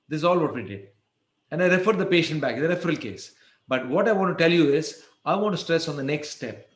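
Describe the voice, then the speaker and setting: A man's high, lively voice at a very fast pace, with audible room echo. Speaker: endodontist lecturer. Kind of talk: lecture. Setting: webinar.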